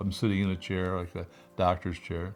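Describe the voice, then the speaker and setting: Talking at a fairly quick pace, a man with a very deep, low voice keeps his intonation fairly even. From upstate New York. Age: 70s. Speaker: breast cancer survivor, retired postal worker. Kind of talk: interview testimony. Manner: hesitant, many fillers.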